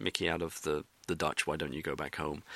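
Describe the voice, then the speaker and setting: On a very clean recording with a silent background, a man with an English accent speaks in a bright, sharp tone. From England. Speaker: satirical blogger. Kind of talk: interview. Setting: in person interview in Amsterdam.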